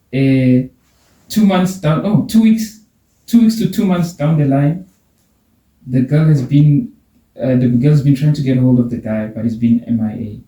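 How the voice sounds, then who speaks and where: A man with a non-native accent at a moderate pace and fairly high pitch, very wide pitch swings and long, frequent pauses. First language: not English. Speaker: podcast host. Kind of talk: casual chat; reading aloud. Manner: halting.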